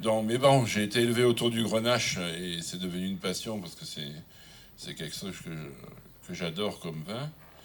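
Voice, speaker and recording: A man speaks at a moderate pace with lively intonation. His loudness swings widely. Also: fairly low pitch for a man. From southern France. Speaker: wine critic. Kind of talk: acceptance speech. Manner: halting, many hesitations.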